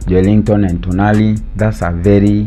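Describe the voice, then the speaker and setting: Background music runs beneath the recording. A man speaks fairly slowly over it. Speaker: sports show host. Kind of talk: casual football commentary to camera.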